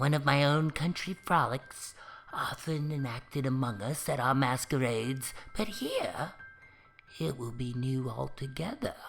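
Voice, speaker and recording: Using a put-on character voice, a man speaks at a moderate pace and medium pitch. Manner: calm, tranquil.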